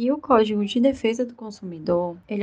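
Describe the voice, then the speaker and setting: Lively intonation from a woman with a fairly high pitch, at a moderate pace, in an unremarkable speaking voice. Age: 20s. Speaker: lawyer. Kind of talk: prepared explanation.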